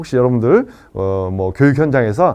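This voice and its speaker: Against a quiet background, a man is speaking. His pace is fairly quick and his intonation lively. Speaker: lecturer on life planning. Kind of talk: lecture. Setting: live online session. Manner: fast.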